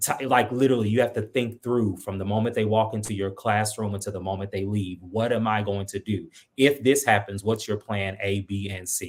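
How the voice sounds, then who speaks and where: Speaking at a fairly quick pace with hardly any pauses, a man keeps a fairly low pitch and fairly even intonation. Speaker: school administrator, former choir teacher. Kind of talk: interview. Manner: fast.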